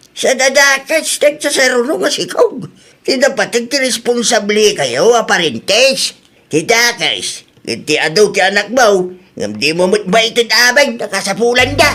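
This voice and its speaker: Raised and projected, a put-on character voice moves at a fairly slow pace with lively intonation. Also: man, extremely high pitch for a man. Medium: audio drama. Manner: gruff, lecturing.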